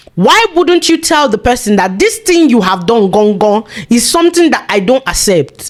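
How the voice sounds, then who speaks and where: A woman's high-pitched voice, animated in tone, swings very widely in pitch. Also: moderate pace, very even loudness. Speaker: vlogger. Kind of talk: casual monologue.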